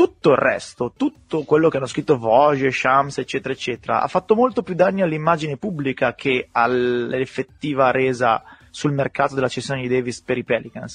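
In a dry, close sound with no echo, an ordinary speaking voice moves at a fairly quick pace with ordinary pitch variation. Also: man, medium pitch for a man. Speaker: podcast host. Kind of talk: casual chat about basketball.

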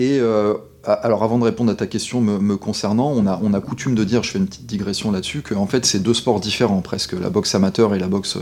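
A man's fairly low voice at a very fast pace, with fairly even intonation, over noticeable background noise. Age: 40s. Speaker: sports lawyer. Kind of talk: interview. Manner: halting.

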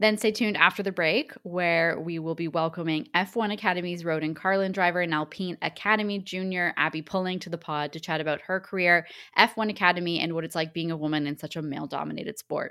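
With a Canadian accent, the speaker goes at a very fast pace with hardly any pauses, a bright, sharp tone and fairly even intonation on a very clean recording with a silent background. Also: woman, fairly low pitch for a woman. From Canada. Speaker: sports podcast co-host. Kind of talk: casual chat; scripted news reading.

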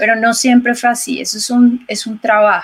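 A woman with a fairly high pitch talks at a fairly slow pace in an unremarkable speaking voice. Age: 40s. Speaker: ecologist and yoga and meditation instructor. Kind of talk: interview conversation.

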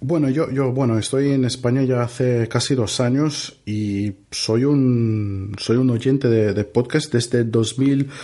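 A man with a Brazilian accent speaks very slowly in a dark, mellow tone at a medium pitch. His pitch varies in an ordinary way over a quiet background. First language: Portuguese (speaking Spanish). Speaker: podcaster. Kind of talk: casual chat. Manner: halting.

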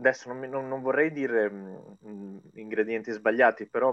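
A man speaks at a medium pitch. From Italy. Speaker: Italian expat working in China. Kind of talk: interview. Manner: halting.

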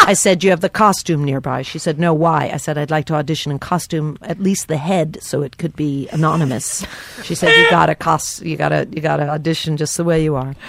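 Over noticeable background noise, a woman with a very deep, low pitch speaks at a fairly quick pace in fairly even intonation, with hardly any pauses. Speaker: stand-up comedian. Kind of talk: casual comedy banter with storytelling.

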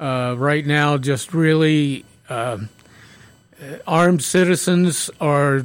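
A man's clear, smooth tone at a very slow pace, with ordinary pitch variation. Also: fairly high pitch for a man.

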